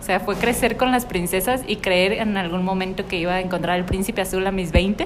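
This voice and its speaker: Speaking at a fairly quick pace with hardly any pauses, a woman keeps a medium pitch and fairly even intonation over noticeable background noise. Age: 20s. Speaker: podcast co-host. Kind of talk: casual chat.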